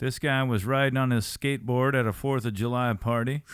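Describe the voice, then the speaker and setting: A normal speaking voice with an American accent, ordinary pitch variation and a moderate pace, on a very clean recording with a silent background. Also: man. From rural Missouri. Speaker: podcast host and musician. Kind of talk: casual chat.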